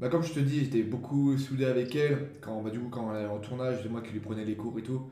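With a slight Champagne accent, a man speaks very fast in a somewhat breathy voice with a dark, mellow tone, fairly even intonation and hardly any pauses, with audible room echo. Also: medium pitch for a man. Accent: slight rural Champagne. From Champagne-Ardenne, near Reims. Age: young. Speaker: aspiring actor and comedian. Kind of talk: casual chat.

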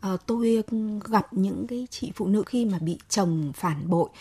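The tone is dark and mellow, somewhat breathy, with lively intonation at a fairly slow pace. The sound is dry and close with no echo, on a very clean recording with a silent background. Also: woman. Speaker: journalist and writer. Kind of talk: radio talk show discussion.

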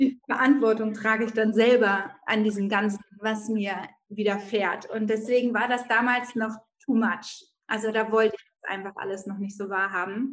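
A woman's fairly high voice, monotone with flat intonation, at a moderate pace. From northern Germany, Bremen. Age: 30s. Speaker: mindfulness coach and mother. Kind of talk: podcast interview.

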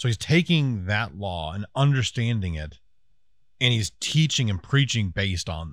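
A man's fairly low-pitched voice with big swings in loudness and very wide pitch swings. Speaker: podcast co-host. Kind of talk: casual chat podcast. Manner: fast talker.

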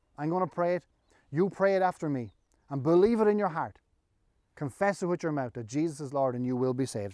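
A man with a fairly high pitch and a dark, mellow tone talks at a very fast pace with lively intonation, broken by long, frequent pauses. The sound is dry and close, with no echo. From Ireland. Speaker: pastor. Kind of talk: sermon. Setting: online church service.

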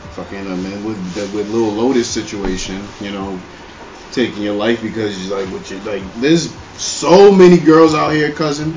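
A man's lively intonation at a moderate pace, with big swings in loudness, audible room echo and noticeable background noise. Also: fairly low pitch for a man. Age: 20s. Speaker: podcast host and DJ. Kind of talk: casual chat. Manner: animated.

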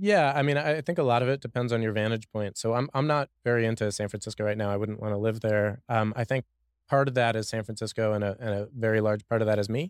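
A man speaks at a very fast pace with medium pitch and ordinary pitch variation. The sound is dry and close with no echo, on a very clean recording with a silent background. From Washington DC. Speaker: software engineer. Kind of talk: casual interview conversation. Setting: studio. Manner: halting, many repeated words.

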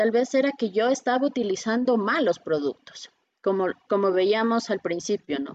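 A woman with a normal speaking voice, fairly high in pitch, at a moderate pace with lively intonation. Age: 30s. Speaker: beautician. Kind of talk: online workshop presentation.

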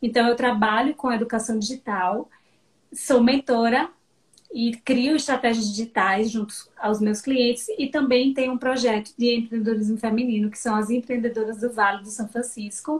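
At a moderate pace, a woman with an ordinary speaking voice talks at a fairly high pitch with fairly even intonation. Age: 40s. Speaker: digital education mentor. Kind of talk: casual interview. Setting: live video stream.

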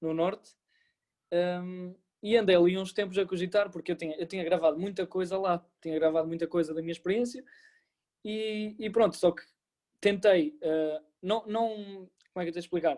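Dark and mellow in tone, a man speaks at a moderate pace with long, frequent pauses. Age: 20s. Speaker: law student and former volunteer. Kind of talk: interview. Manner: hesitant, with many fillers.

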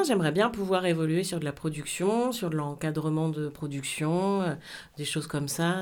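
A woman's very deep, low voice at a moderate pace, ordinary pitch variation and audible room echo. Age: 40s. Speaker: TV presenter and programme coordinator. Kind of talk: interview.

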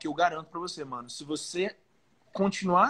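A man speaks at a fairly quick pace. He has an unremarkable speaking voice. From Belém, Pará, northern Brazil. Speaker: professional bodybuilder. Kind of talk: casual chat.

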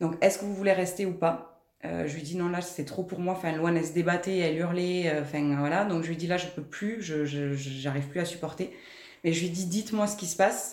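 Amid noticeable background noise and audible room echo, a woman talks at a fairly quick pace with a fairly low pitch and fairly even intonation. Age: 30s. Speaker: mother of a diabetic child. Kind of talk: testimony. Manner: hesitant, many filler sounds.

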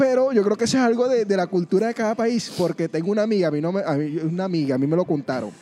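Talking very fast with hardly any pauses, a high-pitched man uses lively intonation over noticeable background noise. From Venezuela, Mérida. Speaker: podcast host. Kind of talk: casual chat. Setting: food park.

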